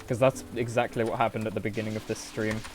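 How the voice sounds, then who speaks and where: Noticeable background noise sits behind a speaker with a British accent. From Britain. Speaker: video game streamer. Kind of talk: live gameplay commentary. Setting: live stream. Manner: animated.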